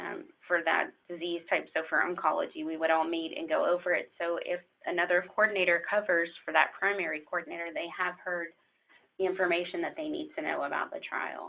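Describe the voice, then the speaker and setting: A woman with a fairly low pitch talks at a fairly quick pace. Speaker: clinical research coordinator. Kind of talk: lecture. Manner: fast.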